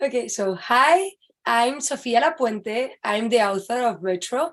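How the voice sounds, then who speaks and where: At a fairly slow pace, a woman with a Spanish accent speaks in a high pitch. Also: lively intonation, quiet background. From Spain. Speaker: author. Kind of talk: casual interview chat.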